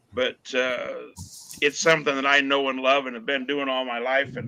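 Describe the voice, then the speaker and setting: The speaker is a man. His pitch is medium. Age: 60s. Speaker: tractor pulling tech and safety director, auctioneer. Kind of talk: casual chat. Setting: video call from his shop.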